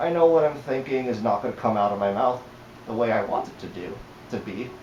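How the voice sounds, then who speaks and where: Over noticeable background noise and audible room echo, a man speaks at a medium pitch with ordinary pitch variation. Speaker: fursuit vlogger. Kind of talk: casual vlog monologue. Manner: halting.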